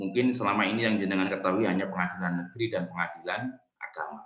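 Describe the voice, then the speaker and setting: The speaker talks at a fairly quick pace with fairly even intonation, and audible room echo surrounds the voice. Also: man. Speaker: university lecturer. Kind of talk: lecture. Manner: formal.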